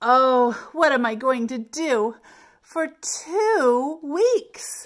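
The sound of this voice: In a put-on character voice, the words come at a very slow pace with big pitch swings. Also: woman, high pitch for a woman.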